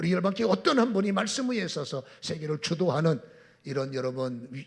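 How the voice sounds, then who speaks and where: This man speaks at a fairly quick pace in a high pitch, with very wide pitch swings. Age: 60s. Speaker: pastor. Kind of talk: sermon.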